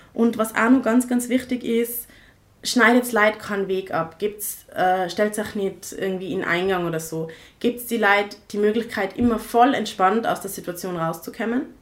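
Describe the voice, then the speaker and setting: A woman with an unremarkable speaking voice talks at a fairly high pitch and fairly slow pace, showing ordinary pitch variation and big swings in loudness. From Tyrol, Austria (rural village). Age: 20s. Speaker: activist, co-founder of a feminist initiative. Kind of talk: podcast interview.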